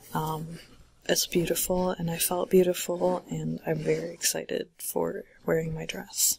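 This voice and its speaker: A soft-spoken woman at a fairly slow pace. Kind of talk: ASMR soft-spoken bookshelf tour.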